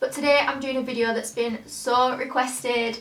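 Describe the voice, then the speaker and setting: Against noticeable background noise, a woman with a British accent speaks at a high pitch and a fairly quick pace. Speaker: singer and YouTuber. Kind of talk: tutorial. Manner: chatty, fast.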